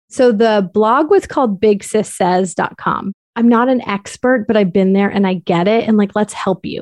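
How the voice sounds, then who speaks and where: A woman with an American accent has an unremarkable speaking voice, fairly high in pitch with ordinary pitch variation. She talks at a moderate pace with hardly any pauses, sounding dry and close without echo over a quiet background. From US Northeast, Connecticut. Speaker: infertility coach. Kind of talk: interview.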